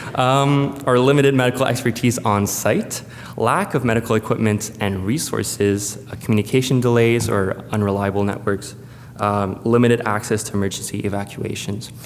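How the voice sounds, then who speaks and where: Speaking with a French Canadian accent, a man talks at medium pitch and a moderate pace with fairly even intonation. The room echo is audible, and there is noticeable background noise. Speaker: space agency presenter. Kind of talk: conference presentation. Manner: hesitant, many fillers.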